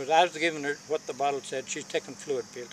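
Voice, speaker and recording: There is noticeable background noise. Over it, a man with a fairly high pitch speaks at a fairly quick pace. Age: 80s+. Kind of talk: casual conversation.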